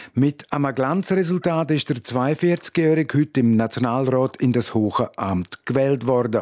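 A man with a Romansh Swiss accent at a medium pitch and fairly slow pace, hardly any pauses, very even loudness and ordinary pitch variation, in a dry, close sound with no echo. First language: Romansh (speaking German). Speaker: radio reporter. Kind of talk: news report.

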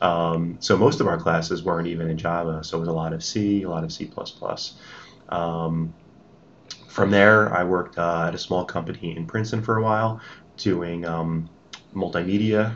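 A man with a New Jersey accent, very deep and low in pitch, at a moderate pace with fairly even intonation and long, frequent pauses. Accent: American, New Jersey. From US, New Jersey. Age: 30s. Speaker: tech executive. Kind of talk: interview. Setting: office building.

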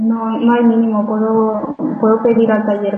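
A woman talks at a fairly slow pace in a normal speaking voice. Her pitch sits fairly high. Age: 30s. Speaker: fashion entrepreneur. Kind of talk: interview. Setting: Skype call.

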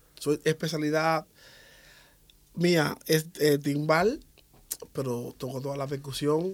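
The voice belongs to a man with a fairly high pitch. He speaks with fairly even intonation. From Cuba, Havana. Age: 40s. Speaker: percussionist and bandleader. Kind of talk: radio interview. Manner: halting.

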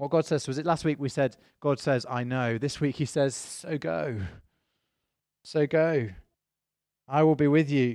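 A man with a British accent and a fairly high voice talks at a fairly slow pace with long, frequent pauses, in a very clean recording with a silent background. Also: ordinary pitch variation. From Britain. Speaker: pastor. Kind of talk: sermon. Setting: church.

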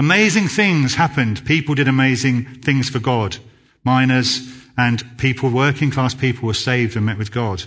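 A man with a southern English accent, medium in pitch with ordinary pitch variation, at a moderate pace against a quiet background. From southern England (Basingstoke, Hampshire). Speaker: church youth worker. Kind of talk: sermon. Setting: church. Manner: halting.

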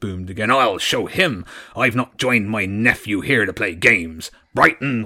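The voice is a natural reading voice, and its pitch moves with ordinary variation.

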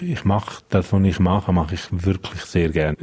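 In a Romansh Swiss accent, a man with a very deep, low pitch and a dark, mellow tone talks at a fairly quick pace with fairly even intonation. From Switzerland, Engadin (Graubünden). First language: Romansh (speaking German). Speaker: police spokesperson. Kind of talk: radio interview.

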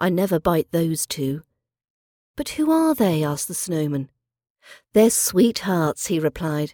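In a British accent, a dark, mellow voice moves at a moderate pace through very wide pitch swings, on a very clean recording with a silent background. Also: woman. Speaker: podcast host and accent teacher. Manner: measured, storyteller-like narration with clear, careful pronunciation; clear, careful, teacherly pace.

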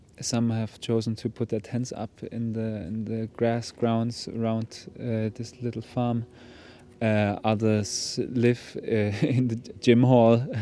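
Speaking with a German accent, a man uses a dark, mellow tone and monotone, flat intonation at a very slow pace. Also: medium pitch for a man. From Germany. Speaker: music project leader. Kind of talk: interview. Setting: outdoors. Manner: halting.

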